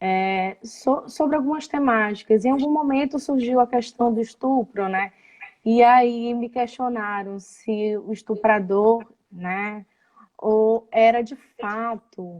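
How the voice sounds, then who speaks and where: A woman's fairly high voice with a Belém accent, at a very slow pace with ordinary pitch variation. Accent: Belém (Pará) accent, noticeable. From Belém do Pará, northern Brazil. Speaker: psychoanalyst, live show host. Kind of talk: live interview conversation. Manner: halting, many fillers.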